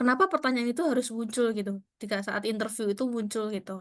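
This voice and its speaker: A woman with a strong East Javanese accent, fairly high in pitch, with ordinary pitch variation over a quiet background. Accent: strong East Javanese (medok) Indonesian. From Kediri, East Java, Indonesia. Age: 20s. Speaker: career talk speaker, scholarship alumna. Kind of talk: online career talk to students. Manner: casual, conversational with fillers.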